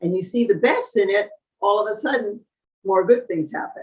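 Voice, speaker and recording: Lively in intonation, a woman speaks in a fairly high, somewhat breathy voice. Her pace is moderate. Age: 80s+. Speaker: long-term vegan, raw vegan author and guest. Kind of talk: interview answer. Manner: warm, reflective, conversational.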